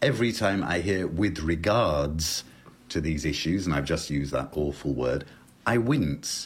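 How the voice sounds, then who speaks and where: Speaking fairly slowly with a British accent, a man uses a very deep, low, somewhat breathy voice at a very even loudness. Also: lively intonation. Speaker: lexicographer. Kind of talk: interview on language.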